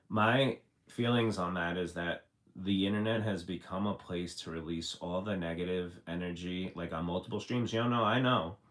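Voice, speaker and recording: The pitch varies in an ordinary way as the voice moves along at a moderate pace. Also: man, very deep, low pitch for a man. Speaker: livestreamer. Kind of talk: casual chat. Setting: live stream. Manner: casual, rambling with fillers.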